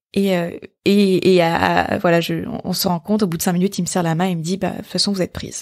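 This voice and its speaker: A woman talks at a very fast pace in a fairly low pitch. Her intonation is monotone and flat. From Brittany, France. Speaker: entrepreneur and podcast host. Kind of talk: solo podcast monologue. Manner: hesitant, many fillers and repetitions.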